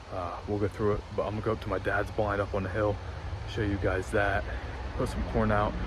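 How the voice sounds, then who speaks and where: A man's fairly low voice with ordinary pitch variation, audible room echo, and noticeable background noise. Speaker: hunting vlogger. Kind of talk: casual vlog narration. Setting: outdoors. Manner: quiet.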